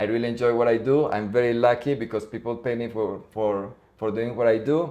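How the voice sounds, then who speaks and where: Fairly quick, fairly even speech from a man at medium pitch, with a Spanish accent and a dark, mellow tone. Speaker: Spanish teacher. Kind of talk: casual interview chat.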